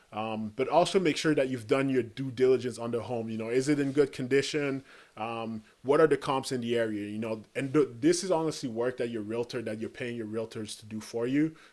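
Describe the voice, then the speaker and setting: The recording is very clean, with a silent background. A man at a medium pitch speaks at a fairly quick pace with fairly even intonation. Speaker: podcast host. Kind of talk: solo podcast monologue. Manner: hesitant, many fillers and restarts.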